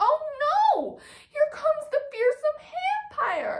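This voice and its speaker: Putting on a character voice, a woman speaks very slowly at an extremely high, shrill pitch. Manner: screeching, alarmed.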